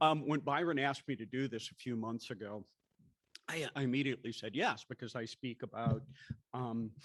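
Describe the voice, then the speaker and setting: Here is a man with a plain, everyday voice at medium pitch. He keeps a moderate pace and fairly even intonation. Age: 60s. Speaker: TV news anchor. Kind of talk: talk to an audience. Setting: breakfast event with audience.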